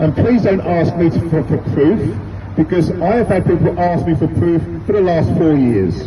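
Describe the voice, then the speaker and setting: Speaking at a fairly slow pace with a British accent, the voice makes very wide pitch swings over noticeable background noise and audible room echo. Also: man. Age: 60s. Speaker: street campaigner, retired teacher and football coach. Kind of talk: street speech to passers-by. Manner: emphatic, repetitive.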